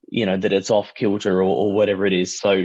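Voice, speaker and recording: A man speaks in an Australian accent with a dry, close sound, no echo and a quiet background. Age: 30s. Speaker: artist and musician. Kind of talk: casual chat.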